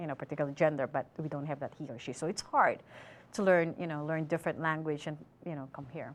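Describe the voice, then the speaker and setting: Speaking at a very fast pace with big swings in loudness, a woman with a very deep, low pitch is heard on a very clean recording with a silent background. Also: fairly even intonation. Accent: Filipino. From Philippines. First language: Filipino. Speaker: student. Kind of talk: interview; prepared commentary.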